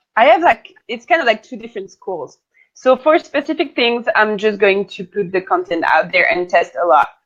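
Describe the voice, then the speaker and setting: The speaker has a French accent. Loudness shifts a lot, and the pitch swings very widely. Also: woman, fairly high pitch for a woman, moderate pace. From France. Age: 20s. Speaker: digital marketing consultant. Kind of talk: interview.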